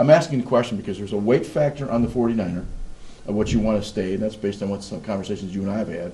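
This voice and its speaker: A man's fairly low, dark, mellow voice, somewhat breathy, at a very fast pace with ordinary pitch variation. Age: 60s. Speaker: show host. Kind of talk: interview.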